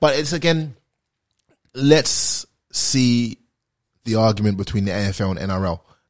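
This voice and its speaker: With a British accent, a man of medium pitch speaks at a moderate pace with lively intonation and long, frequent pauses, on a very clean recording with a silent background. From London, England. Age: 20s. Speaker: former pro footballer and social media creator. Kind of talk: casual chat. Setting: studio.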